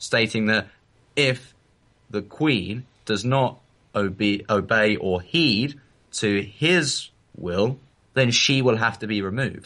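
This man has a bright, sharp tone and a medium pitch. He speaks at a fairly slow pace with an English accent. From England. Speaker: podcast co-host. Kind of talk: casual chat.

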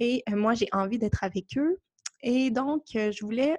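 With a Quebec accent, a somewhat breathy woman talks at a fairly slow pace with ordinary pitch variation, recorded dry and close with no echo against a quiet background. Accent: Québécois French. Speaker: podcast host. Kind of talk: casual monologue. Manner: gentle, hesitant with fillers.

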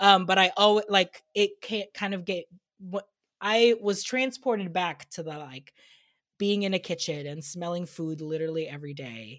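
A woman speaks in an ordinary speaking voice at a medium pitch and moderate pace, with lively intonation and big swings in loudness, on a very clean recording with a silent background. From immigrant family, grew up in US. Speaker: podcast host and food content creator. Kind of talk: casual chat. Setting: video recording, dressed up on camera.

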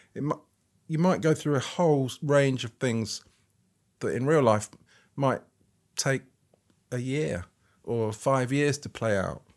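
A man at a medium pitch with ordinary pitch variation, fairly slow and broken by long, frequent pauses, in a very clean recording with a silent background. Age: 50s. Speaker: photographer. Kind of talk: interview conversation. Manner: halting, with frequent restarts.

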